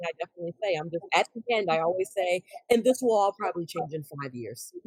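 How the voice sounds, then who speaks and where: A very fast delivery with an American accent, dry and close with no echo. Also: woman. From US South. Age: 40s. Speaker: professor and social worker. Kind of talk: podcast interview.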